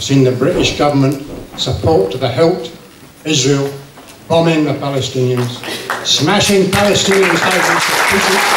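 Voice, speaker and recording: A man with a Scottish accent speaks at a moderate pace and a fairly high pitch, with ordinary pitch variation and long, frequent pauses. Crowd noise and audible room echo sit in the background. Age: 60s. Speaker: audience member asking a question. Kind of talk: public meeting Q&A.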